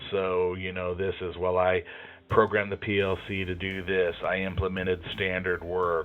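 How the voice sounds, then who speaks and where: Music plays in the background. A man speaks at a very deep, low pitch. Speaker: job interview tips presenter. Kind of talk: tutorial. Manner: monotone; hesitant, many fillers.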